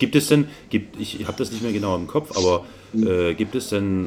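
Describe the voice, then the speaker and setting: A man with a fairly low pitch. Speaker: podcast co-host. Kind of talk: casual chat. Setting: home study.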